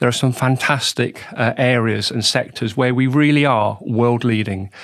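This is a man with a plain, everyday voice. His intonation is fairly even. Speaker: business development director. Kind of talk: podcast interview.

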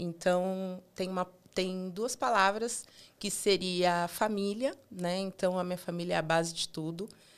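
Very clean recording, silent background. A woman talks at a fairly slow pace with fairly even intonation. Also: medium pitch for a woman. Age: 30s. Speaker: digital accessibility QA analyst. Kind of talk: interview.

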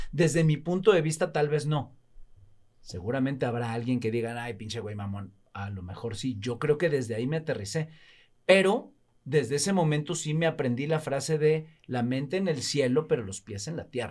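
A man with a fairly high pitch and a somewhat breathy voice uses lively intonation on a very clean recording with a silent background. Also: moderate pace. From Mexico, Veracruz (Alvarado). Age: 50s. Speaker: actor and TV host. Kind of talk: casual interview chat.

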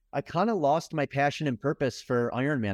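A man's plain, everyday voice at a moderate pace, with a dry, close sound and no echo. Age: 40s. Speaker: endurance athlete and entrepreneur. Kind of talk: casual interview.

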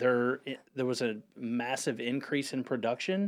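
A man with an American accent and an unremarkable speaking voice talks at a medium pitch and a fairly slow pace on a very clean recording with a silent background. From North Carolina, Huntersville (Lake Norman area). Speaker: real estate broker. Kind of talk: radio interview.

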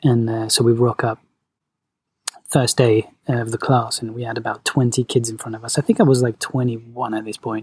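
In a dry, close sound with no echo, a man speaks at a medium pitch, somewhat breathy and monotone, with flat intonation and big swings in loudness. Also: moderate pace. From London, England (born in Venezuela). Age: 30s. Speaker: movement coach. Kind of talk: casual chat.

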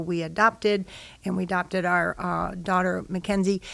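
A woman speaks with an American accent in an ordinary speaking voice, at a moderate pace with fairly even intonation. The recording is very clean, with a silent background. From Chicago, Illinois. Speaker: church member, parent. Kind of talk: casual chat.

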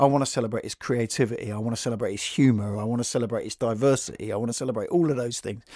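In a London accent, a man speaks very fast at a medium pitch, in a very clean recording with a silent background. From London, west (Notting Hill area). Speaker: podcast host and writer. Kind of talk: casual interview conversation. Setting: recorded at a college venue.

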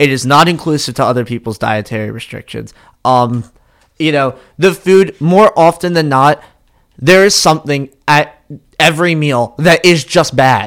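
An ordinary speaking voice delivers the words at a moderate pace with ordinary pitch variation. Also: man, fairly high pitch for a man. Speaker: podcast co-host. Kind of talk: casual chat.

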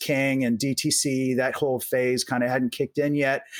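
Someone with an American accent speaks in a monotone, flat intonation against noticeable background noise. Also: man. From US Midwest, Omaha, Nebraska. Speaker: venture capitalist. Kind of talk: interview. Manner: conversational, repeats words.

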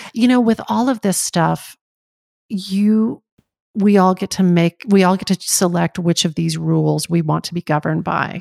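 An unremarkable speaking voice from a woman, medium in pitch with ordinary pitch variation, at a moderate pace, with a dry, close sound and no echo. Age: 50s. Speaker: actor and talk show host. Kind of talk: casual interview.

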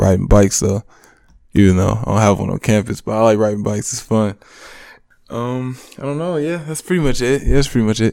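Fairly quick but broken by long, frequent pauses, a man with an American accent talks in a fairly low, dark, mellow voice with lively intonation. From Michigan, US. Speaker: college basketball player. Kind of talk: interview. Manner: halting.

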